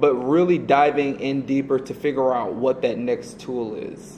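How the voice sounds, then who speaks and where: In an American accent, a man speaks at a fairly high pitch with ordinary pitch variation. Noticeable noise sits in the background. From US South (Atlanta, Georgia). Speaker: advertising creative director. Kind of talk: casual interview. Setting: office.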